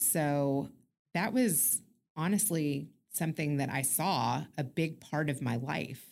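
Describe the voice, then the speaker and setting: A woman's very deep, low voice with vocal fry, at a very slow pace, with ordinary pitch variation and very even loudness, on a very clean recording with a silent background. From Kentucky. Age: 40s. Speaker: podcast host and former TV producer. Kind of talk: casual chat. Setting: in-person studio recording.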